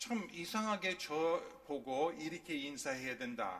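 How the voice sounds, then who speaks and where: A man with a non-native accent speaks with very wide pitch swings. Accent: non-native Korean. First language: English (speaking Korean). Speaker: pastor. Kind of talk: sermon. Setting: church.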